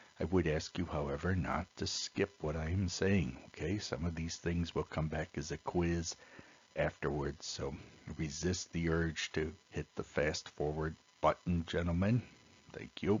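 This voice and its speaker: This man's voice is very deep and low in pitch and somewhat breathy. He talks at a fairly slow pace with fairly even intonation. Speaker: teacher. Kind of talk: lecture. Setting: recorded video lesson.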